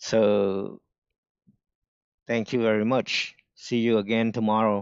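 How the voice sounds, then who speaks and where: The speaker talks at a very slow pace with a strong non-native accent. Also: man, fairly low pitch for a man. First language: not English. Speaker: day trader streamer. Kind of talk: live stream commentary.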